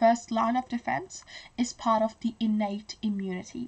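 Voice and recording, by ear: A woman speaks at a fairly slow pace in a fairly high pitch, with a slightly mellow tone and ordinary pitch variation.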